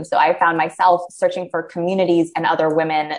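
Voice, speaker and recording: Using a normal speaking voice, a woman talks at a fairly quick pace in a fairly low pitch with fairly even intonation. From USA. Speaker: diversity and inclusion consultant. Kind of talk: casual interview. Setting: small office, video call.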